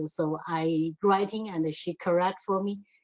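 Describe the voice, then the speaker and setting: A woman speaks with a non-native accent. Her pitch sits fairly low. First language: not English. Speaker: adult learner, award-winning writer. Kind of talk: interview. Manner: halting.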